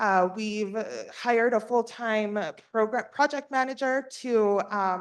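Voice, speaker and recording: A woman's fairly high, ordinary speaking voice at a fairly slow pace, over a quiet background. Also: ordinary pitch variation. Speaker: state workforce agency staff presenter. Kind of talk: board meeting presentation. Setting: in-person and virtual meeting.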